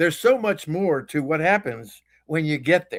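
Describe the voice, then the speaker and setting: A man's high-pitched voice with lively intonation. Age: 80s+. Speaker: author. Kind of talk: webinar interview.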